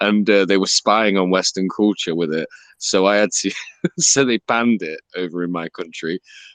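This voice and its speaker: With an English accent, a man talks at a moderate pace in a fairly low voice. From England. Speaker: crypto Twitter Spaces host. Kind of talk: casual chat. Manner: animated.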